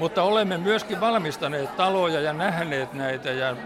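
Crowd noise fills the background, and audible room echo surrounds the speaker. A man talks at a fairly slow pace with lively intonation. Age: 80s+. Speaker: retired carpenter. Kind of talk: casual chat. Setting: art exhibition opening. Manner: halting.

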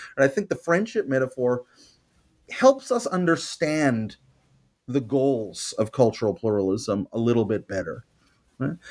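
A man with a Montreal accent talks at a fairly slow pace with long, frequent pauses, using lively intonation and a medium pitch, in a very clean recording with a silent background and a dry, close sound with no echo. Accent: Canadian English (Montreal). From Canada, Montreal. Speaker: history professor. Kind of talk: interview. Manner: halting, many fillers.

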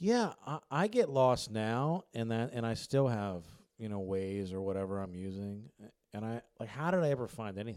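With an American accent and a plain, everyday voice, a man talks at a moderate pace and medium pitch, his intonation lively. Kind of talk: casual interview chat. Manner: joking, self-deprecating.

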